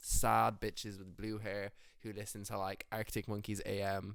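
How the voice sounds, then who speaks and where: A man with an Irish accent speaks at a fairly low pitch. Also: very clean recording, silent background. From Ireland, rural Roscommon. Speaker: musician. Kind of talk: casual interview chat.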